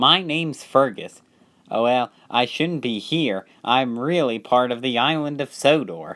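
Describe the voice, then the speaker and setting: A man uses a put-on character voice at a medium pitch. He speaks at a fairly slow pace. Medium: read story. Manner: polite, anxious.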